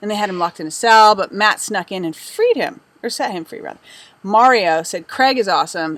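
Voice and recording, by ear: In a natural voice with lively intonation, the text is read aloud.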